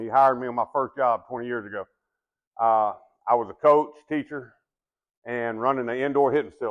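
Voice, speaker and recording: The speaker has a Texan accent and moves at a fairly quick pace. Pitch variation is ordinary. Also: man. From Texas. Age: 60s. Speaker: business development manager and retired baseball umpire. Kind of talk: sales presentation. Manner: casual, halting with fillers.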